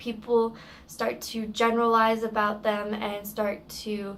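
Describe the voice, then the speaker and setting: A woman's fairly high-pitched voice comes through with audible room echo. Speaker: service dog handler vlogger. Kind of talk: vlog rant. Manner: loud; halting, repeats words.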